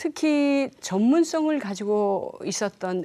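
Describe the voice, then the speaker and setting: On a very clean recording with a silent background, a woman speaks very slowly in a dark, mellow tone with very wide pitch swings. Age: 60s. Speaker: storyteller for children. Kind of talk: interview.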